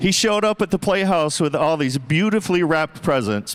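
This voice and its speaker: Speaking in an animated tone, a man has a high-pitched voice. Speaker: gala emcee. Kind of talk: event speech to live audience.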